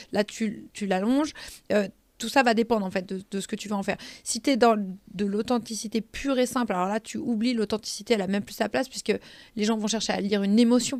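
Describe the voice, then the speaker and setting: A woman's very fast, animated voice, fairly high in pitch, on a very clean recording with a silent background. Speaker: social media trainer and consultant. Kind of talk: podcast interview.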